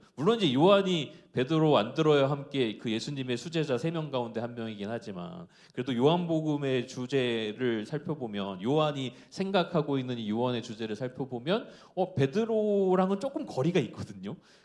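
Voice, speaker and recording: The speaker's intonation is lively, and there are hardly any pauses. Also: man, fairly high pitch for a man. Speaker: preacher. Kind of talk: sermon. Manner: fast.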